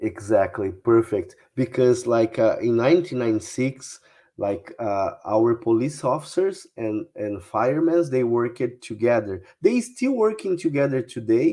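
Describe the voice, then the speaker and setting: A man talks with a Brazilian Portuguese accent. His voice has a dark, mellow tone. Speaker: UFO researcher. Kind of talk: interview. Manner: halting, many fillers.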